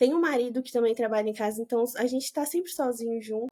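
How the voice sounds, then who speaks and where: A woman's high-pitched voice with a dark, mellow tone and ordinary pitch variation. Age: 20s. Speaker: branding and content strategist. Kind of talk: casual chat.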